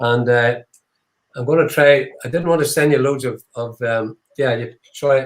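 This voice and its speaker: Speaking with an Irish accent, a man with medium pitch uses fairly even intonation and long, frequent pauses. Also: moderate pace. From Ireland. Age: 70s. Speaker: whiskey distillery founder. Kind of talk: live online tasting chat. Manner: halting, many fillers.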